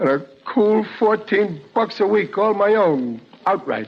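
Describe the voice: A man speaks in a put-on character voice that is high for a man, with vocal fry, lively intonation and a fairly slow pace.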